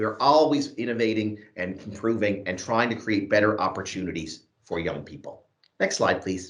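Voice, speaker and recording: With a plain, everyday voice, a man talks at a moderate pace, his pitch fairly low and its variation ordinary. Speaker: youth training program lead. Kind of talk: presentation at an online event. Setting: video call.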